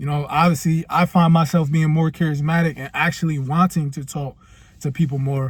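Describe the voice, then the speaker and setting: A man speaks somewhat breathily with fairly even intonation. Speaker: self-improvement vlogger. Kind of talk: casual vlog monologue. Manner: casual, hesitant with repeated words.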